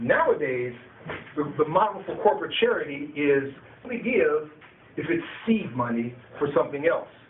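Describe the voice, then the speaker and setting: A man pauses long and often while speaking at a moderate pace, noticeable background noise filling the gaps. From Chicago, US Midwest. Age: 60s. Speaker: political activist and former community organizer. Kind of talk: public talk to an audience. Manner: conversational with many hesitations and repeats.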